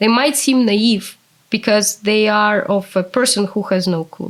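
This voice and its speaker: With a Russian accent, a woman talks very slowly at a medium pitch, her pitch varying in an ordinary way. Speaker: translator. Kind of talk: interview.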